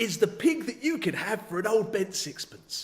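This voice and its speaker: A man's put-on character voice, pitched high. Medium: read story. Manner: slow, deliberate.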